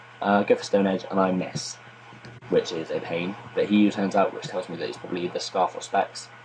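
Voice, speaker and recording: With noticeable background noise behind him, a man speaks fairly quickly. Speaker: gaming commentator. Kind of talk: gameplay commentary. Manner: quiet; low-key.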